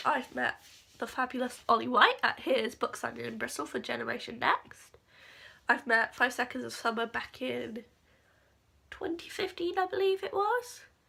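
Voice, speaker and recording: A woman with an English accent talks at a moderate pace. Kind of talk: casual talk to camera.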